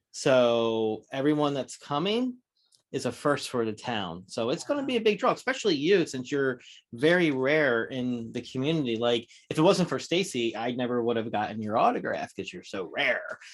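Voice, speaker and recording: A man with an ordinary speaking voice, medium pitch, an American accent, lively intonation, moderate pace, and a quiet background. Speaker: horror podcast co-host. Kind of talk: casual interview chat.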